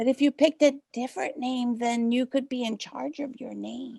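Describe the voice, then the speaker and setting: Using a put-on character voice, a female-sounding voice speaks at a high pitch. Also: moderate pace. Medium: audio drama. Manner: warm, gentle.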